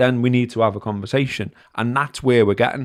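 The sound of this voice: A man talks at a fairly quick pace, at medium pitch and with fairly even intonation. The recording is very clean, with a silent background.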